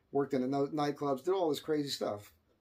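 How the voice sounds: A man at a medium pitch with a slightly mellow tone, fairly even intonation and a fairly quick pace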